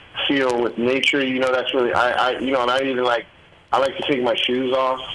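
There is noticeable background noise behind the speaker. A man talks at a fairly quick pace. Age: 50s. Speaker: true crime author. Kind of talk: casual interview. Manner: halting, many fillers.

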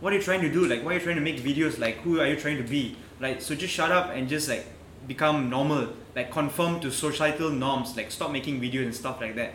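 A man with a fairly high voice talks at a very fast pace with ordinary pitch variation. Noticeable background noise is present. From Malaysia. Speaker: travel YouTuber. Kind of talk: casual chat.

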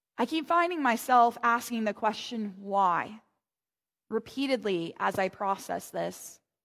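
Lively in intonation but fairly slow in pace, a woman with an American accent and an unremarkable speaking voice is heard on a very clean recording with a silent background. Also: fairly high pitch for a woman. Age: 30s. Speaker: pastor. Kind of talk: sermon.

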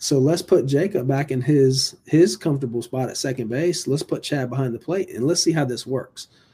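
A man's medium-pitched, somewhat breathy voice with a dark, mellow tone, an American accent, and ordinary pitch variation. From Virginia Beach, Virginia. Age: 40s. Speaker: high school baseball coach. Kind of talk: casual interview.

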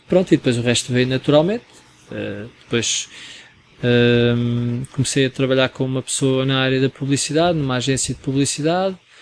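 There is noticeable background noise behind a man speaking at a moderate pace. His pitch is medium, with ordinary variation. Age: 40s. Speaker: photographer and restaurant manager. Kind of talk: casual chat.

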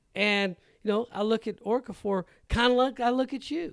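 A man speaks at a moderate pace on a very clean recording with a silent background. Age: 50s. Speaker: realtor and podcast co-host. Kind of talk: casual chat.

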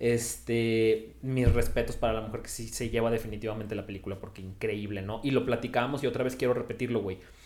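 A man at a medium pitch, monotone and flat, very fast with hardly any pauses, in audible room echo. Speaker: podcast host. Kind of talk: casual chat. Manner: casual, slangy.

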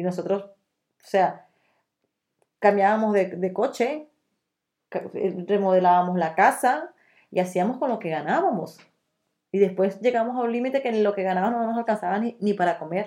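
A woman with a dark, mellow tone speaks at a medium pitch and a moderate pace, with ordinary pitch variation. Her loudness swings widely, and she takes long, frequent pauses. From Venezuela. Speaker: Venezuelan emigrant, nutritionist. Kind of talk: interview testimony. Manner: halting.

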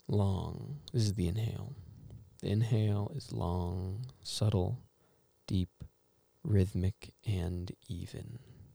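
Dark and mellow, the calm, soothing voice comes out somewhat breathy at a very slow pace, with ordinary pitch variation and long, frequent pauses. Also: man, fairly low pitch for a man. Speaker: meditation guide. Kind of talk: guided meditation. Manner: slow, calm, soothing, with long pauses; gentle, instructive, quietly reflective.

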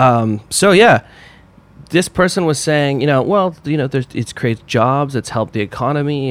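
Lively intonation marks a plain, everyday voice that keeps a moderate pace. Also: man. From Canada. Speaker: composer. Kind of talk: casual chat.

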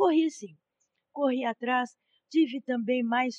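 A woman with a normal speaking voice and fairly high pitch speaks at a moderate pace with ordinary pitch variation. The sound is dry and close, without echo. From Brazil, São Carlos, São Paulo state. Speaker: law professor. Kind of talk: interview. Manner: formal.

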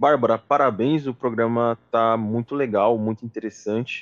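An ordinary speaking voice from a man, medium in pitch, with ordinary pitch variation and a fairly slow pace. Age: 20s. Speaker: sales executive, student association member. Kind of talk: casual interview.

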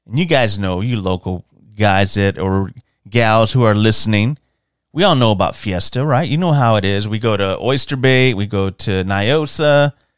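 On a very clean recording with a silent background, a man with a Texan accent speaks in a fairly low pitch. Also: ordinary pitch variation, moderate pace. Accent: Texan American. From San Antonio, Texas. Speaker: podcast host. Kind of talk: casual monologue.

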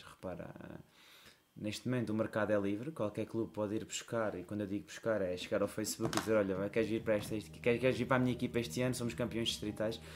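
The man's voice sits fairly low in pitch. He speaks at a very fast pace. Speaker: basketball coach. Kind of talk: casual chat.

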